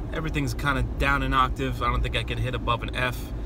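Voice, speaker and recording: A man speaks over noticeable background noise. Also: dry sound with no echo. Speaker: voice teacher. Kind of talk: casual vlog chat. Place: car. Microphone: phone near.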